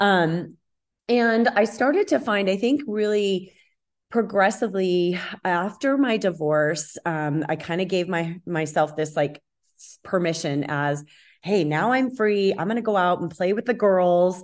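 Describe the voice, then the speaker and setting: With lively intonation and a normal speaking voice, a woman talks at medium pitch and a fairly slow pace over a quiet background. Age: 50s. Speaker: health and wellness coach. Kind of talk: personal testimony in interview.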